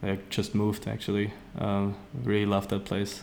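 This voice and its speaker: With a German accent, a man talks at a fairly slow pace in a fairly low pitch. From Austria. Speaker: street artist. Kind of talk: interview. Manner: halting, many fillers and repeats.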